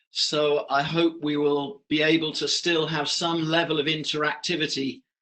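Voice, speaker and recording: A man with a British accent talks in a fairly high pitch. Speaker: professor and business director. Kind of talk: online lecture. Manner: hesitant, many fillers.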